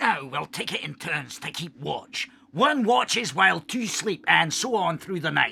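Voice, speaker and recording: Putting on a high-pitched character voice, a man talks at a moderate pace with hardly any pauses. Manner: curt, condescending.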